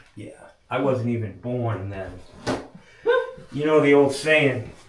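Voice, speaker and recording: A man of medium pitch speaks at a fairly slow pace, his loudness swinging widely. Room echo is audible, along with noticeable background noise. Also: ordinary pitch variation. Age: 60s. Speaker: plumber. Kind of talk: casual chat.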